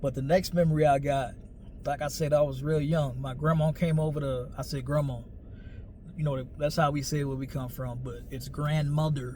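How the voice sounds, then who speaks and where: A man's fairly high, somewhat breathy voice with a dark, mellow tone, flat monotone intonation, a moderate pace, an American accent, and audible room echo. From New Orleans, Louisiana (US South). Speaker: storyteller / vlogger. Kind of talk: personal storytelling monologue. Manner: casual, conversational.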